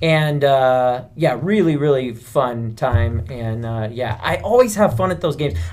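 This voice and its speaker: A man with an unremarkable speaking voice at a medium pitch. He talks at a fairly slow pace with lively intonation and hardly any pauses. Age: 40s. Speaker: podcast co-host. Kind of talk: casual chat.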